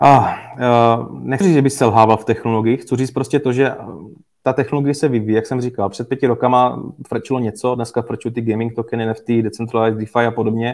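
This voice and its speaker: With a medium pitch, a man speaks at a fairly quick pace. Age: 20s. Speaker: cryptocurrency investment expert. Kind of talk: interview. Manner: halting, with many fillers.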